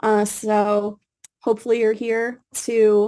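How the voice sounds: A woman speaks at a fairly high pitch. Her tone is slightly mellow.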